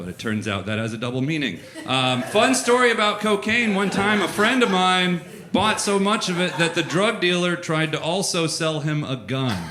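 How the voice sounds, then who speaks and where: Against noticeable background noise and audible room echo, a man with an American accent speaks at a moderate pace in a high voice with very wide pitch swings. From Florida, small town. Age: 30s. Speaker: comedian. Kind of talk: stand-up. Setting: stage with audience.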